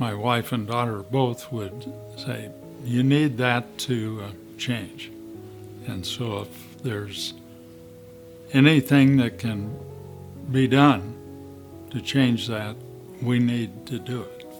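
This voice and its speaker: A man with a medium pitch and ordinary pitch variation speaks at a very slow pace, with long, frequent pauses and big swings in loudness. Music plays in the background. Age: 70s. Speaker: patient giving testimonial. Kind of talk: testimonial interview answer.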